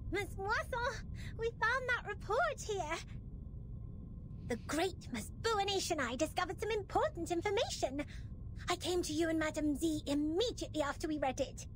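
A woman uses a put-on character voice at an extremely high pitch, with long, frequent pauses. Clear background noise is audible. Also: moderate pace. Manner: sing-song, theatrical.

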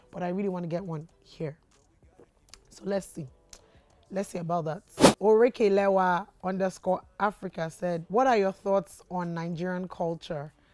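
A woman with a dark, mellow tone and medium pitch speaks at a moderate pace with fairly even intonation, long, frequent pauses and big swings in loudness, in a dry recording with no echo and light background noise. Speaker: YouTuber. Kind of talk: casual Q&A vlog. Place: studio.

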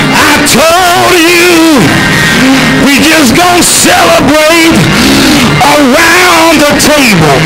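Loud music plays in the background as a man talks with ordinary pitch variation. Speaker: preacher. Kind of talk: sermon. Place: church. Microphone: handheld.

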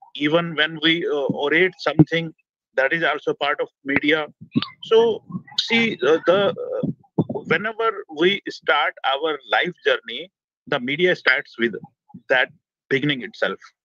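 Against a quiet background with a dry sound and no echo, a man with an Indian accent and a fairly high pitch speaks at a fairly slow pace with ordinary pitch variation and long, frequent pauses. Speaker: media educator. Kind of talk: webinar lecture. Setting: video call, outdoors on a rooftop. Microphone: video call.

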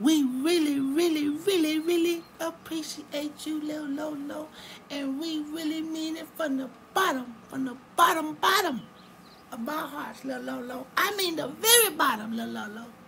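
A cartoonish character voice, female-sounding and high-pitched, moves at a fairly slow pace. Clear background noise runs behind it. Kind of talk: comic cartoon voice acting. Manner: gushing, affectionate, repetitive.

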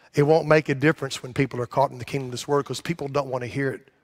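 A man talks at a very fast pace in a monotone, flat delivery against a quiet background. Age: 60s. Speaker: pastor. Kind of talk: sermon. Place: church.

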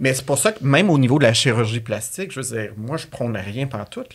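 Speaking with a Quebec accent, a man uses an animated tone and lively intonation at a fairly quick pace. The background is quiet. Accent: Québécois French. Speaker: podcast guest, coach, speaker. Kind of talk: casual chat. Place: studio. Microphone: studio mic.

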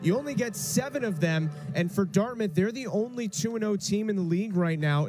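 A man talks at a moderate pace with ordinary pitch variation while noticeable background noise goes on. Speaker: soccer play-by-play commentator. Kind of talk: live sports commentary, play-by-play of a college soccer match. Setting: broadcast booth, streamed match.

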